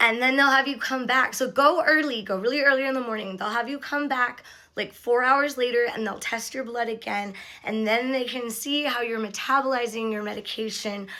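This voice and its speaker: A woman's high, bright, sharp voice at a fairly quick pace with fairly even intonation. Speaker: vlogger sharing recovery experience. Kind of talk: casual vlog monologue. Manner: chatty, filler-heavy.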